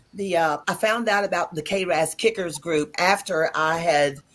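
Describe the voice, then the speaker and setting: With music in the background, a woman speaks in an American accent at a fairly low pitch with ordinary pitch variation. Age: 60s. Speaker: lung cancer survivor, patient advocate. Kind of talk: panel discussion.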